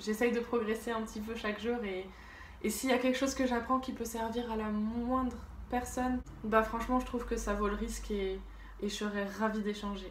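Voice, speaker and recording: Amid noticeable background noise and audible room echo, a woman with a fairly high pitch speaks at a moderate pace in a monotone, flat intonation. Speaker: YouTuber, drawing and lifestyle vlogger. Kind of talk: casual vlog monologue. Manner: unscripted, hesitant with fillers.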